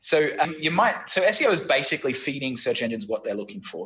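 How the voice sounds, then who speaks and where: A man with an Australian accent, talking at a fairly quick pace. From Australia, Brisbane. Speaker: SEO marketing consultant. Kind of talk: interview. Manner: casual, repetitive stammering.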